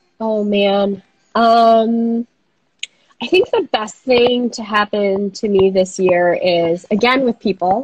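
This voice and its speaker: Very slowly, a woman with an American accent speaks in a fairly high pitch with fairly even intonation, the sound dry and close with no echo. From Minnesota. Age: 30s. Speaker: coworking space founder. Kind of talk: interview. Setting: video call.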